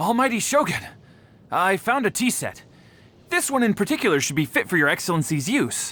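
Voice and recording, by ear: A man uses a put-on character voice, pitched high, with a bright, sharp tone. He keeps a moderate pace while his pitch makes big swings.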